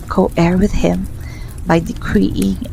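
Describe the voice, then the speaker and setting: A woman whispers at a very slow pace. Noticeable background noise can be heard. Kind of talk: personal faith testimony, ASMR. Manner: whispered.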